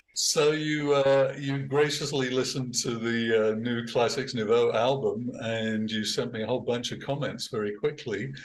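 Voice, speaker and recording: With an English accent, a man talks at a moderate pace and medium pitch, with hardly any pauses. Audible room echo surrounds his voice. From England. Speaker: band musician and producer. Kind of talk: casual chat.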